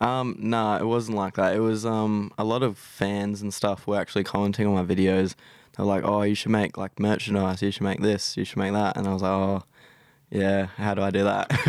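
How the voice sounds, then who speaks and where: With an Australian accent, a man speaks in a fairly low pitch and a monotone, flat intonation. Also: fairly quick pace, very clean recording, silent background. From South Australia. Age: 20s. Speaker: YouTuber and scooter rider. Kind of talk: casual interview. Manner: hesitant, many fillers.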